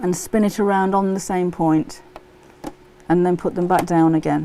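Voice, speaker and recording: A woman with an English accent at a moderate pace, over noticeable background noise. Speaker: sewing tutor. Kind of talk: live stream sewing tutorial. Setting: live stream. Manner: casual.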